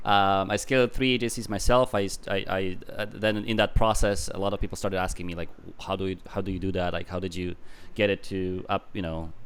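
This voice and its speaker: At a fairly quick pace, a man with an Eastern European accent speaks in a fairly low pitch with fairly even intonation. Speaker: business consultant. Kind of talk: casual interview.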